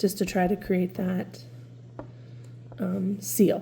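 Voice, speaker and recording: Her voice has a dark, mellow tone with vocal fry as the woman speaks. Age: 40s. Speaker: lifestyle vlogger. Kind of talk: casual chat. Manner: casual, filler-heavy.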